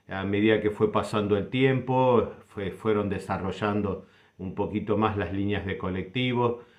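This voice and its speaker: Fairly low in pitch, a man speaks at a fairly slow pace with fairly even intonation in a normal speaking voice. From Argentina, Buenos Aires south suburbs (Banfield). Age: 60s. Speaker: doctor sharing local memories. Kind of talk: personal reminiscence.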